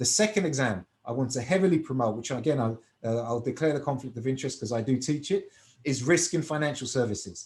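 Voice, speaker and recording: A somewhat breathy man with a British accent, medium pitch, lively intonation and a very fast pace. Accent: British accent, noticeable in Cyprus. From UK. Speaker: finance professional and exam tutor. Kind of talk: webinar presentation.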